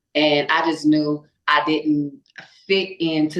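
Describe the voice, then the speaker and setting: A woman with a Louisiana accent and a very deep, low pitch. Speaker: singer. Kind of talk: casual chat.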